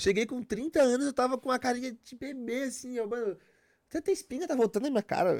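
Very fast speech with ordinary pitch variation, in a dry, close sound with no echo. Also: man, extremely high pitch for a man, very clean recording, silent background. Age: 30s. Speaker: psytrance DJ and producer. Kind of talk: casual chat. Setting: studio.

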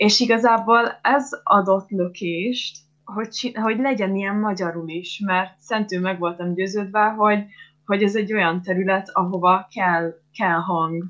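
At a fairly slow pace, a woman speaks in a normal speaking voice with medium pitch and fairly even intonation. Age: 20s. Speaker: psychology student, eating disorder survivor. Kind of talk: interview testimony.

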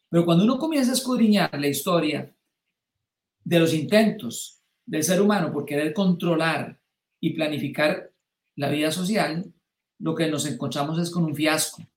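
A man speaks at a moderate pace with long, frequent pauses. His pitch is fairly high, with ordinary variation. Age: 60s. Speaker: political commentator. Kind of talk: live-streamed political discussion. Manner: halting.

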